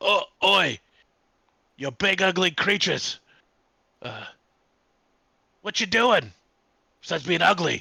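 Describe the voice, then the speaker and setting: Put-on character voice from a man, high-pitched and fairly slow, with long, frequent pauses. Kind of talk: put-on voice different from normal. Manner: taunting, mocking.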